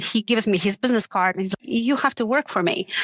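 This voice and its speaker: The speech has ordinary pitch variation in a dry, close sound with no echo. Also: woman. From Uzbekistan. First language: not English. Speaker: tech company founder. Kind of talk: podcast interview answer.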